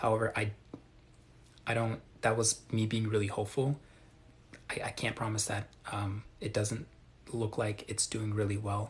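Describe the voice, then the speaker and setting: Somewhat breathy and soft-spoken, the voice whispers at a moderate pace. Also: man. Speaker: crypto livestreamer. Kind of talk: live stream Q&A. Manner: soft-spoken, near whisper.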